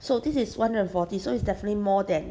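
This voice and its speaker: Her medium-pitched voice has a dark, mellow tone, lively intonation and vocal fry as the woman speaks. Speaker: math tutor. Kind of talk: tutorial.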